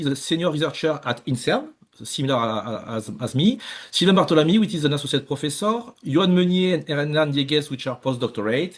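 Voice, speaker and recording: This man has a French accent and a fairly high pitch. He talks at a fairly quick pace with ordinary pitch variation. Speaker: research scientist. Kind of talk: lecture. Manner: halting, many fillers.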